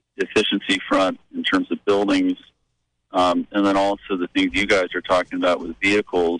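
The voice carries an American accent. The sound is dry and close, with no echo. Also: man. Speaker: caller. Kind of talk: call-in radio show. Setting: phone call. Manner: halting.

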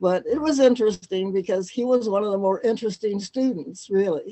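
At a moderate pace, a woman with a Midwestern US accent talks at medium pitch with ordinary pitch variation. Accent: US Midwest. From Cleveland, Ohio, US. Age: 90s. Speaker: music publisher. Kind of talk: interview storytelling.

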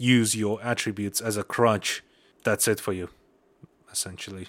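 In a Russian accent, a fairly low-voiced man speaks in a monotone, flat intonation on a very clean recording with a silent background. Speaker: MMA podcast host. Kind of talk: solo podcast commentary. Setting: home recording. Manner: halting.

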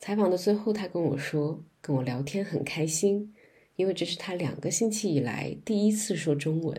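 Her fairly low voice is dark and mellow, somewhat breathy, with lively intonation as the woman speaks at a moderate pace. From China, Guangzhou. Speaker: podcast host. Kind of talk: interview; scripted narration.

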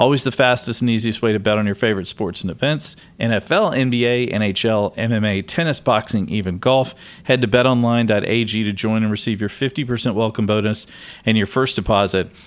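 A man with a medium pitch speaks at a moderate pace with ordinary pitch variation in an ordinary speaking voice. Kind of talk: casual chat.

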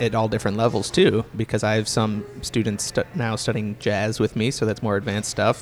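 Here a man speaks in an ordinary speaking voice, fairly low in pitch, with fairly even intonation. His fairly quick delivery has hardly any pauses and very even loudness. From Pittsburgh, Pennsylvania. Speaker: musician and guitar teacher. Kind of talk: casual interview chat. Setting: coffee shop.

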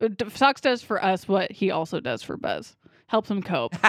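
Vocal fry runs through a woman's fairly slow speech, which swings very widely in pitch. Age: 20s. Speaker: movie podcast host. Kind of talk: casual chat.

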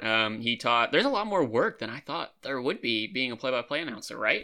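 This man has an unremarkable speaking voice, medium in pitch, moving at a fairly quick pace with lively intonation over a quiet background. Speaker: sports podcast host. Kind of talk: casual sports chat with comedy skit intro.

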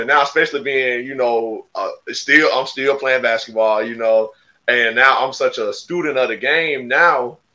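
With an Alabama accent, a man speaks at a fairly slow pace in a bright, sharp tone. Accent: Southern US (Alabama). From Alabama, US South (Marengo County, Demopolis area). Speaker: podcast co-host, basketball player. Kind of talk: casual interview.

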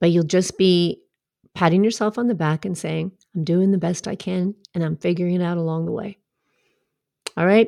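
A woman talks at a moderate pace with a dark, mellow tone and fairly low pitch, her intonation fairly even and her pauses long and frequent. The recording is very clean with a silent background, and the sound is dry and close with no echo. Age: 50s. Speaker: podcast host and life coach. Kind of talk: solo podcast monologue.

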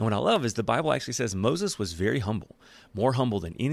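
A natural reading voice carries the whole clip.

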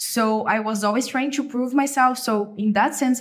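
In a very clean recording with a silent background, a woman speaks with a Brazilian accent. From Brazil, São Paulo state countryside. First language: Portuguese. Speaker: case coach, former management consultant. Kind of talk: interview.

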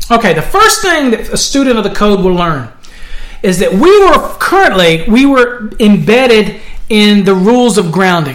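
A man speaks in a high pitch at a moderate pace, his intonation lively and his loudness very even. Noticeable background noise sits behind him. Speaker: podcast host, electrical code instructor. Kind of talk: tutorial. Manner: casual, with frequent fillers.

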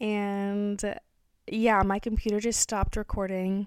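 Over a silent background in a very clean recording, a woman with an unremarkable speaking voice talks at a medium pitch and a fairly slow pace. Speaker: spiritual wellness podcast host. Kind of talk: casual, unscripted guided meditation with breathwork prompts. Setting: lying down with eyes closed while recording. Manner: gentle, invitational pacing with sighs and soft giggles; relaxed and candid, drops profanity mid-meditation.

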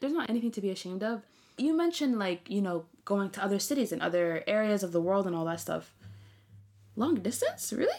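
Her tone is animated and her intonation lively as a woman at medium pitch talks at a very fast pace in a very clean recording with a silent background. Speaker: podcast host. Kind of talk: casual chat.

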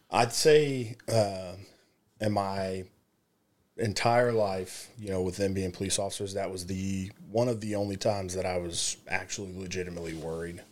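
A man speaks with a normal speaking voice at a fairly low pitch. He keeps a moderate pace and fairly even intonation. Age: 20s. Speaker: police officer. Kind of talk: casual interview.

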